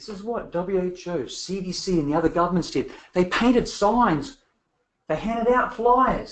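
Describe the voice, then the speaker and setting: Animated in tone, a man speaks at a fairly quick pace with very wide pitch swings. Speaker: public health expert and lecturer. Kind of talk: lecture.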